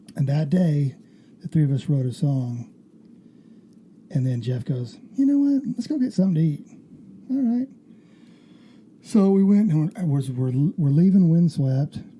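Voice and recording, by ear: A man's dark, mellow voice with a slightly husky edge, fairly high in pitch, fairly slow, with big pitch swings and long, frequent pauses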